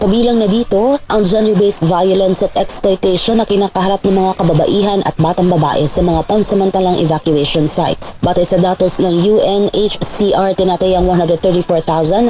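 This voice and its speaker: A woman talks at a fairly quick pace with medium pitch and fairly even intonation. Noticeable background noise can be heard. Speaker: radio news reporter. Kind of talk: radio news report.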